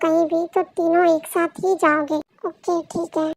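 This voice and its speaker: The pace stays moderate. A put-on character voice is used. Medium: fan dub. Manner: earnest, cautious.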